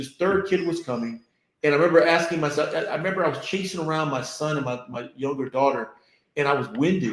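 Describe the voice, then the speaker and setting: A man talks in a fairly high voice with an American accent. His pitch varies in an ordinary way. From Florida. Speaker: business leader. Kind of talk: interview. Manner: halting.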